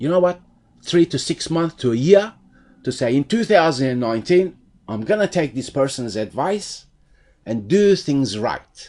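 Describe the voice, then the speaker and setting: The speaker goes at a fairly slow pace, with very wide pitch swings. The background is quiet. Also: man. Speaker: SEO tutorial presenter. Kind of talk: tutorial.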